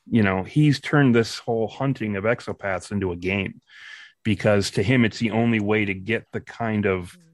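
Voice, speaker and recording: A man with a fairly low pitch and an ordinary speaking voice, ordinary pitch variation and a moderate pace, over a quiet background. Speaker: chief writer and voice actor of an audio drama. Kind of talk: casual chat.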